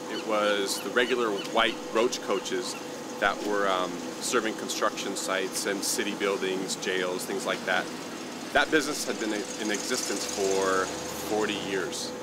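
Fairly slow speech comes through loud background noise, with a dry sound that has no echo. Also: man. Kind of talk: interview answer. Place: street.

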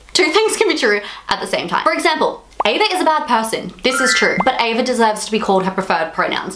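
Loud background noise fills the clip as a woman talks at a very fast pace. Her loudness stays very even while her pitch swings very widely. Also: fairly high pitch for a woman. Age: 20s. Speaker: YouTuber. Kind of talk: commentary video. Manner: casual. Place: home room.

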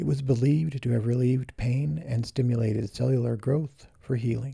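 This man has a medium pitch and a dark, mellow tone. He sounds somewhat breathy, with fairly even intonation. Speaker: product presenter. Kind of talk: infomercial product narration.

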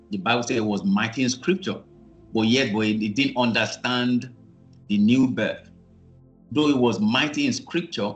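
Faint music plays in the background while the speaker talks at a moderate pace with ordinary pitch variation. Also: man. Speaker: minister teaching online. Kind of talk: sermon. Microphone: video call.

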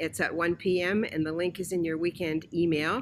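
A woman speaks at a moderate pace with vocal fry. Light background noise can be heard. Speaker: church announcer. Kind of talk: church announcements. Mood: warm, welcoming. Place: home room.

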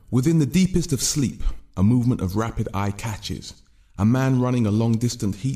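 This man's voice has a dark, mellow, intense tone and ordinary pitch variation. He keeps a moderate pace against a quiet background. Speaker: spoken word poet. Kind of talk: spoken word poem performance, rhythmic and rhyming. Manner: intense, rhythmic, driving delivery with dense wordplay. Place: studio. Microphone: studio mic.

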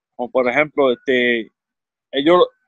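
The speech moves at a moderate pace with ordinary pitch variation, the sound dry with no echo and the background quiet. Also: man. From Puerto Rico, central region. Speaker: podcast guest. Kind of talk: casual chat. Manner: halting. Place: home room. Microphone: studio mic.

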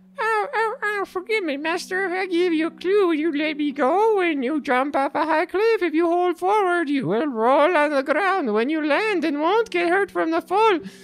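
Delivered at a moderate pace, a put-on character voice at an extremely high pitch comes through over light background noise.

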